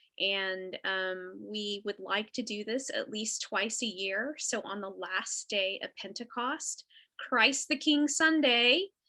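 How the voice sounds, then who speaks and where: A woman's bright, sharp, fairly high voice with a Texas accent and lively intonation, at a very slow pace with hardly any pauses. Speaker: Episcopal priest. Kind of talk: casual chat. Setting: video call.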